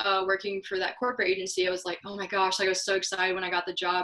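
A woman's very fast speech at a medium pitch, with an American accent and noticeable background noise. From US Midwest, Missouri. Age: 20s. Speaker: entrepreneur and marketer. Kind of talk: interview. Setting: remote call.

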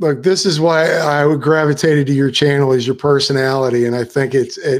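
This man has an American accent and a fairly high pitch. He talks at a fairly quick pace with fairly even intonation. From Florida. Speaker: podcast host. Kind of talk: casual chat. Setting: video call livestream. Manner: rambling, hesitant.

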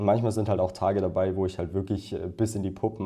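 A man's dark, mellow voice, fairly low in pitch, flat and monotone, at a very fast pace. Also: quiet background. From Upper Bavaria, near Munich. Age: 20s. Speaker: freelance photographer and videographer. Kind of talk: podcast interview. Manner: casual, many filler sounds.

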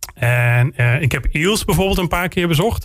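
He has a plain, everyday voice. The man goes at a moderate pace. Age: 40s. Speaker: local politician and military instructor. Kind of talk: interview.

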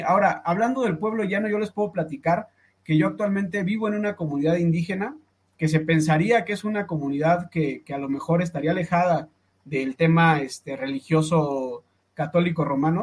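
The speech runs at a fairly quick pace with lively intonation. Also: man, high pitch for a man. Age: 30s. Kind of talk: podcast debate.

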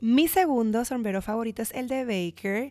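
A woman with a Puerto Rican accent speaks with ordinary pitch variation in a very clean recording with a silent background. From Puerto Rico. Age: 30s. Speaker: podcast host. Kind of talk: casual monologue.

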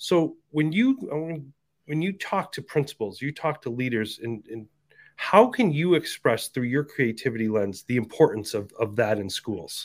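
Recorded very cleanly over a silent background, a man talks in a normal speaking voice at a fairly high pitch and moderate pace, with lively intonation. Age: 50s. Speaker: podcast host, former principal. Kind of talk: casual interview chat.

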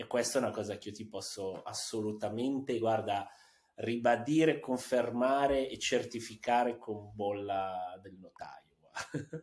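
A man with an ordinary speaking voice talks at a fairly slow pace and medium pitch. His pitch varies an ordinary amount while his loudness swings widely. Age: 40s. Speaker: tech entrepreneur. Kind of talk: interview. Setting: studio.

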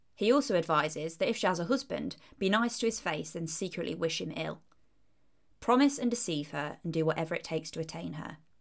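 A woman with an East Midlands accent talks at a moderate pace in a fairly low pitch, with vocal fry and lively intonation. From Leicestershire, England. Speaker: podcast host. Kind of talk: scripted narration, history podcast.

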